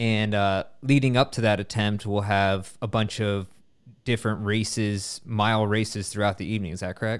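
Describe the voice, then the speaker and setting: A man talks in a plain, everyday voice with a fairly low pitch and fairly even intonation. The recording is very clean, with a silent background. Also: moderate pace. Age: 30s. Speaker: running podcast host. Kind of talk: casual interview.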